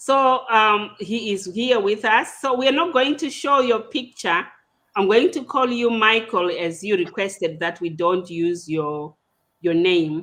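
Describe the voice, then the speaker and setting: A woman speaks at a fairly slow pace with a medium pitch. Her intonation is lively. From Zimbabwe. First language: Shona. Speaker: podcast host. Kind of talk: casual interview discussion. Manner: hesitant, with repetitions.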